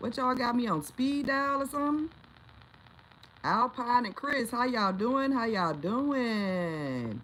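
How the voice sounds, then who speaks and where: Noticeable background noise surrounds a woman's high-pitched voice, which has an animated tone, lively intonation and a fairly slow pace. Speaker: livestream host. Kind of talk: casual livestream chat. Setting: home livestream on camera.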